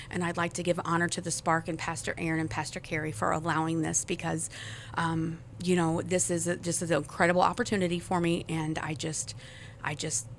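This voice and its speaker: This woman has an American accent, a fairly low pitch and vocal fry. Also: fairly quick pace. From US Midwest, South St. Louis, Missouri. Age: 40s. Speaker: church member sharing testimony. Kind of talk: testimony.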